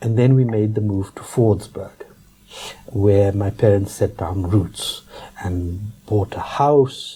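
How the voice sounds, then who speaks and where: Speaking at a very slow pace, a man with a fairly low pitch keeps his intonation fairly even against noticeable background noise. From South Africa, Johannesburg. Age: 60s. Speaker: politician. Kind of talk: interview. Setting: studio. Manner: halting.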